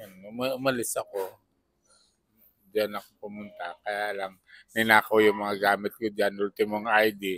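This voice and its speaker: A man with a fairly low pitch and a bright, sharp tone speaks in a flat monotone, with long, frequent pauses and big swings in loudness. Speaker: homeless man. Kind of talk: interview. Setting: fast food restaurant. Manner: slurred after stroke.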